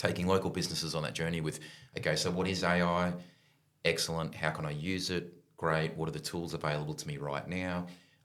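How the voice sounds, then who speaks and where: In a room with audible echo, a man with a very deep, low voice speaks very fast in a flat monotone. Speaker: business technology advisor. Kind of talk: interview answers. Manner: hesitant, many fillers.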